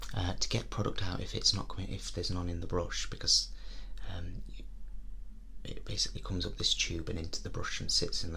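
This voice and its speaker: Whispering at a fairly quick pace, a man speaks. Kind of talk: ASMR role play. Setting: windy outdoors. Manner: soft-spoken, whispered.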